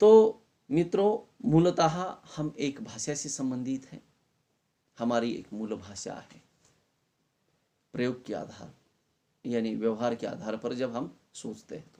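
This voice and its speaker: A man at medium pitch, with very wide pitch swings, big swings in loudness, and long, frequent pauses. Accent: Marathi. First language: Marathi (speaking Hindi). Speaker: college Hindi lecturer. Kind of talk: lecture.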